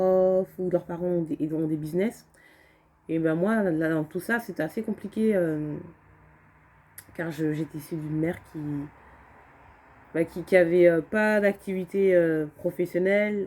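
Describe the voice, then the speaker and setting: A woman's dark, mellow tone at a fairly slow pace, with fairly even intonation. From France, Alsace (Strasbourg area). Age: 20s. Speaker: vlogger. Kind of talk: personal testimony vlog. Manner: hesitant, many fillers and repetitions.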